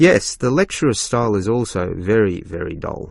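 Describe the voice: A put-on character voice lurches through big pitch swings with vocal fry. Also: man, fairly low pitch for a man, moderate pace, very clean recording, silent background.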